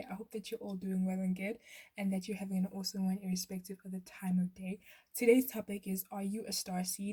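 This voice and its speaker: A woman's somewhat breathy voice at a medium pitch, with a dark, mellow tone. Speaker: tarot reader. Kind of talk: tarot pick-a-card reading. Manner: stuttering.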